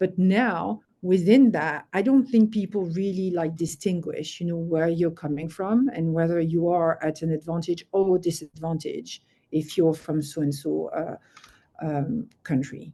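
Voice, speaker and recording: A woman talks at a fairly slow pace with ordinary pitch variation. Her voice is fairly low-pitched, with a dark, mellow tone. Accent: French. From France. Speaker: finance executive. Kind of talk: interview.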